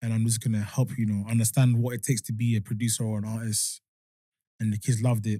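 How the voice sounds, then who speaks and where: A man with a London accent talks very fast in a dark, mellow, somewhat breathy voice at medium pitch. His intonation stays monotone and flat. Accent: London English, multicultural. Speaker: music producer and cancer survivor. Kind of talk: casual podcast chat.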